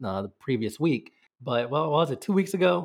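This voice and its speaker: A man with an American accent sounds animated and enthusiastic, his intonation lively. The background is quiet. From United States. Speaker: podcast host, football fan. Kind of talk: casual chat, match recap. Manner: animated, enthusiastic.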